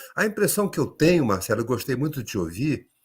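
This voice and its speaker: There is vocal fry in this man's fairly high voice. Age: 60s. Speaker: education policy expert. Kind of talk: panel discussion.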